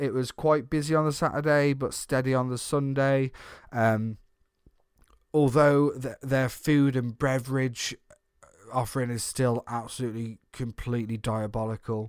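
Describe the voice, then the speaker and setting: An ordinary speaking voice moves at a moderate pace with ordinary pitch variation on a very clean recording with a silent background. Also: man. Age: 30s. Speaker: theme park podcaster. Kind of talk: casual chat.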